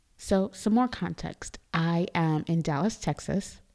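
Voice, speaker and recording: On a very clean recording with a silent background, a soft-spoken woman at medium pitch talks at a fairly slow pace with ordinary pitch variation. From Trinidad and Tobago. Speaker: podcast host. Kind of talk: casual monologue. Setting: studio.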